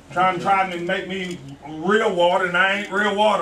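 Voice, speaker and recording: A man with a high pitch speaks at a moderate pace in an animated tone. Background noise is noticeable. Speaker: church elder preaching. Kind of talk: fervent sermon, call-and-response preaching climax. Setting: church. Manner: rhythmic repetitive exhortation, 'you gotta' cadence; animated, calling out to congregation with interjections.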